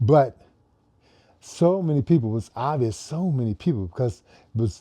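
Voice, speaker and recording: Dark and mellow in tone, a man speaks at a moderate pace with lively intonation. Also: quiet background. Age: 70s. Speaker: fitness coach for older adults. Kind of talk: casual vlog talk while warming up. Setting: home garage. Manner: hesitant, many fillers.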